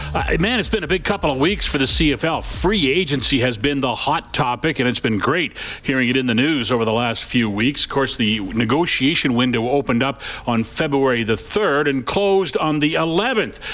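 In a plain, everyday voice, a man speaks at a medium pitch and moderate pace, his loudness very even and his intonation lively. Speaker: sports radio host. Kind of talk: radio show. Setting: studio.

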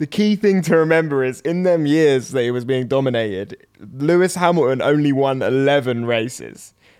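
This man has a fairly high pitch and ordinary pitch variation. He talks at a moderate pace. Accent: British.

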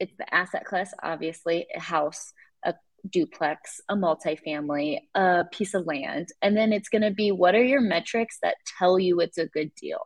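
This woman has a plain, everyday voice with an American accent, speaking at a moderate pace in a dry, close sound with no echo. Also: medium pitch for a woman, ordinary pitch variation. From Iowa. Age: 20s. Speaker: real estate investor. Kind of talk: interview.

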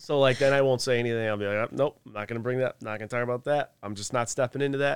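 At a very fast pace, a man with an American accent speaks at a medium pitch with fairly even intonation, recorded dry and close with no echo. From US Northeast. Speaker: author and businessman. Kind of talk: casual chat.

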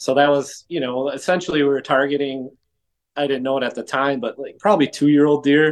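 With a Wisconsin accent, this man speaks in a fairly high voice and fairly even intonation. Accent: Upper Midwest (Wisconsin). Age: 40s. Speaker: whitetail hunter. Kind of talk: casual interview.

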